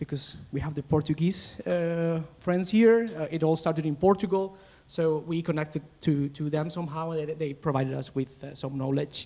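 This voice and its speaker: Fairly high in pitch, a man's voice has a dark, mellow tone and ordinary pitch variation. He keeps a moderate pace with hardly any pauses. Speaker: teacher presenting at education webinar. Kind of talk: conference presentation. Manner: loud; halting, repetitive fillers.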